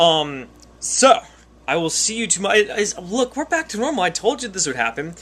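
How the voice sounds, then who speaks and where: This man talks at a fairly quick pace in a high pitch, his voice making very wide pitch swings. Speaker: vlogger. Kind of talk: casual vlog to camera. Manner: fast.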